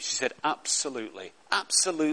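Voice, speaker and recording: A man speaks with a Lancashire accent. His voice sits fairly high. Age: 60s. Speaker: pastor. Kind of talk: sermon. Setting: church.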